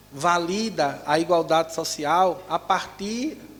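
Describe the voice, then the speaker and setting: Against noticeable background noise, a man speaks in a high pitch with fairly even intonation. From Northeast Brazil, Recife. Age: 40s. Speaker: educator and spiritist speaker. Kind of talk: lecture.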